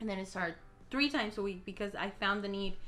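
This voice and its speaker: At a very fast pace, a woman talks at a medium pitch with fairly even intonation. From Mexico. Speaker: YouTuber and actress. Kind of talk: casual Q&A vlog. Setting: home recording.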